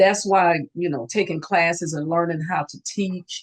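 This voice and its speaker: With fairly even intonation, a woman with a normal speaking voice is heard in a dry, close sound with no echo. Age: 60s. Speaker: nurse and student loan advisor. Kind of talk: interview. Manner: conversational, many fillers.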